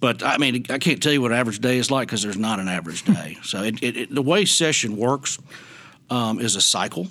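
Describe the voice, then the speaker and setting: A man's bright, sharp tone at a very fast pace, with lively intonation. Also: medium pitch for a man. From Tennessee. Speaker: Senate chief clerk and parliamentarian. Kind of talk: casual interview chat.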